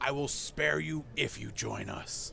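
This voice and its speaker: A man growls in a put-on character voice at a fairly slow pace. Background noise is clearly audible. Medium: actual play.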